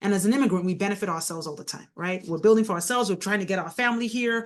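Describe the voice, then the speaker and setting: A woman talks with a Nigerian accent at a medium pitch. The background is quiet. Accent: Nigerian accent, still noticeable. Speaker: mayor and author. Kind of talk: interview conversation.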